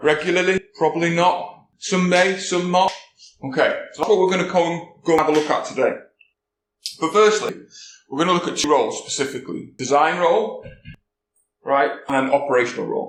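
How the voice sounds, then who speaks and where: With a slight Welsh accent, a man talks at a fairly quick pace and a high pitch, leaving long, frequent pauses. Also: ordinary pitch variation. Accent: slight Welsh lilt. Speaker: security conference speaker. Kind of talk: conference talk. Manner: casual, conversational.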